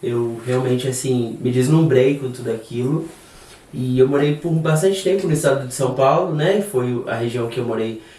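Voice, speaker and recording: A man of medium pitch talks at a moderate pace with ordinary pitch variation, audible room echo and noticeable background noise around him. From Brazil, southern Minas Gerais. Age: 30s. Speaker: hairdresser and salon owner. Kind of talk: podcast interview.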